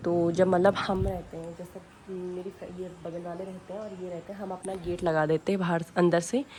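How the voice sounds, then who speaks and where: Moderate pace with hardly any pauses, flat monotone intonation and big swings in loudness. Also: woman, fairly low pitch for a woman. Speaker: vlogger. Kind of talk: home tour vlog. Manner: casual, filler-heavy.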